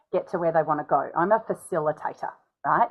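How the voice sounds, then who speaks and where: A woman speaks with an Australian accent. Her intonation is lively. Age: 40s. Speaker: speaking coach. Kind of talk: interview. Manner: animated.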